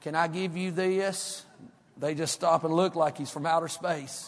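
A man's high-pitched voice in a Southern US accent. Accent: country Southern. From North Carolina foothills. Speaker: pastor. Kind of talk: sermon.

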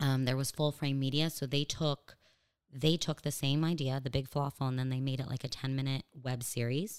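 Speaking at a fairly quick pace, a woman with a Californian accent has a very deep, low pitch. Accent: American (California). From US, Los Angeles. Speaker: stand-up comedian. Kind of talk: casual interview chat. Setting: studio, across a table.

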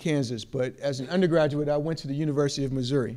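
A man with a normal speaking voice pitches it fairly high, varying it in an ordinary way. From Chicago. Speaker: professor. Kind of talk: lecture. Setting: stage with audience.

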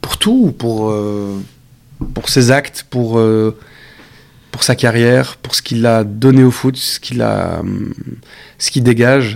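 A man at medium pitch with monotone, flat intonation, a very slow pace and long, frequent pauses. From Belgium. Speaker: actor. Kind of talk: casual chat.

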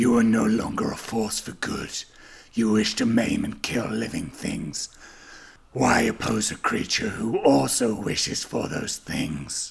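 A man speaks at a fairly slow pace in a put-on character voice with a menacing tone. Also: medium pitch for a man.

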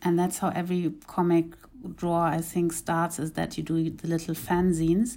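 A woman with a German accent speaks at a moderate pace in a fairly low, dark, mellow voice with monotone, flat intonation, on a very clean recording with a silent background. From East Africa (Uganda and Kenya). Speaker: graphic novelist. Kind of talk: interview.

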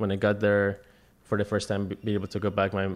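Talking at a very fast pace, a man with a fairly low pitch speaks with a Spanish accent. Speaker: artist. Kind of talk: casual interview chat.

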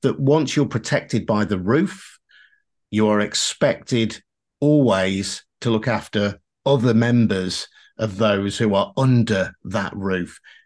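With a British accent, a man speaks at a fairly slow pace against a quiet background. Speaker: podcast host. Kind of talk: interview.

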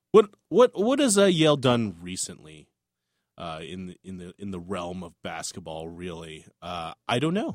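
A man with an upbeat tone speaks at a moderate pace, his volume showing big swings in loudness. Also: dry, close sound with no echo. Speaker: sports podcast co-host. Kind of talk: casual sports chat. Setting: studio. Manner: joking, upbeat.

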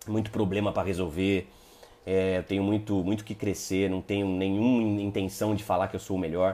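With a dark, mellow tone and fairly low pitch, a man talks at a fairly quick pace. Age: 30s. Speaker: lawyer and multi-level marketing presenter. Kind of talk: live stream talk to online audience. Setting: live online broadcast. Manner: halting, many repetitions and fillers; casual, animated.

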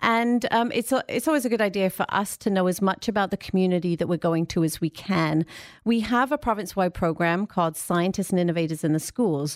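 On a very clean recording with a silent background, a woman speaks at medium pitch and a moderate pace with ordinary pitch variation. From England. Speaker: science centre outreach manager. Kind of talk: casual radio interview. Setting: radio studio.

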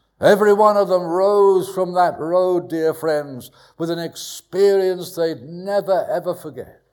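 Recorded very cleanly with a silent background, a man speaks in a high pitch with a southern English accent. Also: fairly slow pace. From southwest London, England. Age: 70s. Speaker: pastor. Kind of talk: testimony. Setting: church. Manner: animated.

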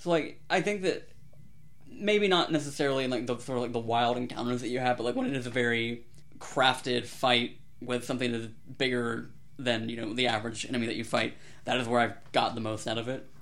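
A man with a plain, everyday voice speaks fairly quickly at a medium pitch, with ordinary pitch variation. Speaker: podcast co-host. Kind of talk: casual chat. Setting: remote recording over Discord.

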